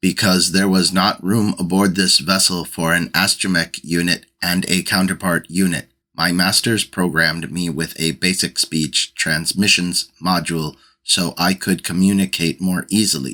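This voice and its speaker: A robotic, put-on character voice runs at a moderate pace with hardly any pauses on a very clean recording with a silent background. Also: man, very deep, low pitch for a man. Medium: read story. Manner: matter-of-fact, polite, literal.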